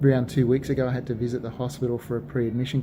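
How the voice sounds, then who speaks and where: His voice sits at a medium pitch, and he talks fairly quickly. The man's intonation is fairly even. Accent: Australian. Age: 40s. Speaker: vlogger sharing surgery experience. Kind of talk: personal video diary. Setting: hospital.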